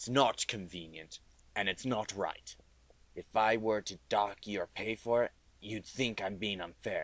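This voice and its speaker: Man in a put-on character voice, fairly low in pitch, at a moderate pace. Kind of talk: radio drama. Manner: gruff, curt.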